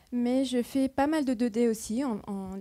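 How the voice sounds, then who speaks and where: Here is a woman with a non-native accent. She has a dark, mellow tone. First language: not French (speaking French). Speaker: computer vision researcher, keynote speaker. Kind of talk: conference keynote talk. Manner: halting, searching for words.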